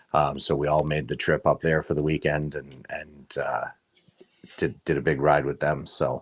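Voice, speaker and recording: With a Canadian accent, a man talks at a moderate pace in a very deep, low voice with vocal fry and monotone, flat intonation. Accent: muted Canadian. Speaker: motorcycle club member. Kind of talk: interview.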